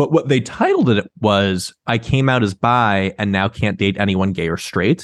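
Speaking at a moderate pace with hardly any pauses, a man has a plain, everyday voice, fairly low in pitch, with ordinary pitch variation. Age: 30s. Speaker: sex writer. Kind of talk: interview.

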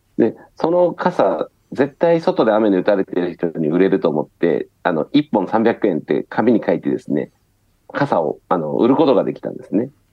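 A man speaks at a moderate pace in a fairly low pitch. His pitch swings very widely. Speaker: startup founder. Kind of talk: interview. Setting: remote call from Osaka.

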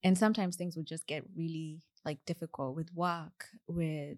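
Someone with a Kenyan accent speaks at a moderate pace in a very clean, dry, close recording with no echo and a silent background. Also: woman. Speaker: software engineer. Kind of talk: podcast interview. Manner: halting.

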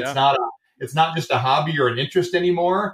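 A man with a Michigan accent speaks at a fairly quick pace and a fairly high pitch. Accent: Midwestern American (Michigan). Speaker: airline co-founder, former Navy fighter pilot, business school lecturer. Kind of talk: interview.

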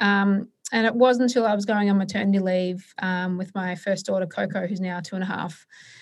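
Woman with an Australian accent, medium pitch, ordinary pitch variation, a somewhat breathy sound and a fairly quick pace, in a very clean recording against a silent background. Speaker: entrepreneur. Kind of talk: interview. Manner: hesitant, many filler words.

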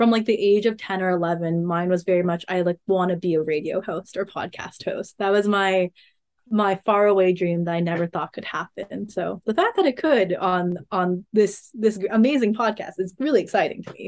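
A woman with an American accent and a normal speaking voice, medium in pitch, talks with hardly any pauses. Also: ordinary pitch variation, moderate pace. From California, Monterey Bay. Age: 20s. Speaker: hiker and podcast intern. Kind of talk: casual interview.

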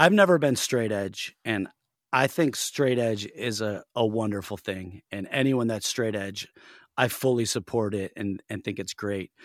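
A man with a Western New York accent speaks at a fairly slow pace and a fairly low pitch, with ordinary pitch variation. The recording is very clean, dry and close, with a silent background and no echo. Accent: Western New York American. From US Northeast, Buffalo NY. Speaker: hardcore band vocalist. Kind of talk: casual interview.

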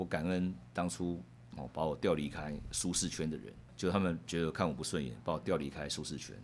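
A man's very deep, low voice with vocal fry, lively intonation and a very fast pace. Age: 50s. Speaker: securities executive and university lecturer. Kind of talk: interview conversation. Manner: halting, frequent word repetition.

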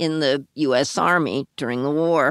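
On a very clean recording with a silent background and a dry, close sound with no echo, a woman speaks very slowly in a very deep, low pitch with fairly even intonation. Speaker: author and co-host. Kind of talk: narration and interview. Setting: her apartment, on location.

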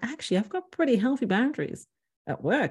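A woman at a fairly quick pace, dark and mellow in tone, with very wide pitch swings, in a very clean recording with a silent background. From Ireland, Dublin. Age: 40s. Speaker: relationship coach and author. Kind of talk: interview conversation.

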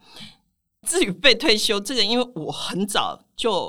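A woman talks at a fairly slow pace in a bright, sharp tone. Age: 60s. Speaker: personal finance author. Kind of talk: interview.

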